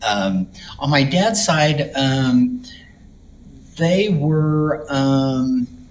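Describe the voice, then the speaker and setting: There's audible room echo and noticeable background noise as a man talks with an American accent. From Texas, Dallas. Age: 60s. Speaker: retired florist. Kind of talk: personal life story interview. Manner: halting, many fillers.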